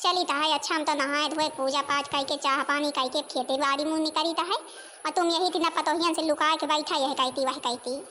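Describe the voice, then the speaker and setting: A cartoonish character voice from a woman, extremely high in pitch and fairly quick in pace, over clear background noise. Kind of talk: rustic comic dialect cartoon.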